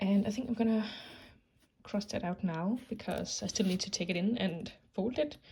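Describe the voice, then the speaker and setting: A somewhat breathy woman's voice at a moderate pace. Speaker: vlogger. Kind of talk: casual vlog narration. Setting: outdoors in garden. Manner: soft-spoken.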